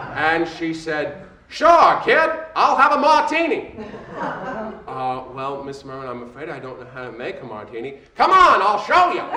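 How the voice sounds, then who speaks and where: Against noticeable background noise, a man with a warm tone talks at a fairly slow pace, his loudness swinging widely. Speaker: stage performer, storyteller. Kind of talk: comedic stage storytelling. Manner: comedic timing, warm.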